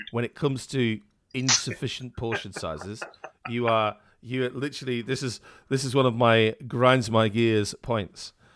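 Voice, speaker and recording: In a British accent, a man talks at a medium pitch with fairly even intonation. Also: moderate pace. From UK. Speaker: podcast co-host. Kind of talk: casual chat.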